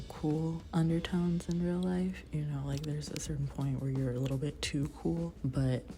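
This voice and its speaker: The speaker is whispering at a moderate pace. Music plays in the background. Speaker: art youtuber. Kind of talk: casual chat. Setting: library room.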